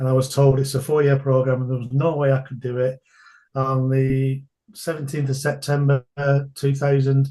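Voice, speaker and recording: In a northern English accent, a man talks at a moderate pace in a flat monotone, his voice fairly high for a man, dark and mellow in tone, and somewhat breathy. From England. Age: 60s. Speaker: entrepreneur and martial arts instructor. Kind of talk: podcast interview.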